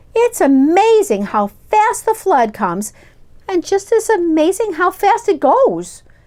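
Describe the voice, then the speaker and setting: A woman speaks at a fairly slow pace in a put-on character voice with an extremely high pitch. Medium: read story.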